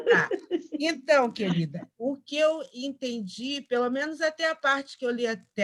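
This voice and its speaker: Lively intonation runs through this woman's fairly slow speech. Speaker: spiritist study group member. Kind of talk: group study discussion.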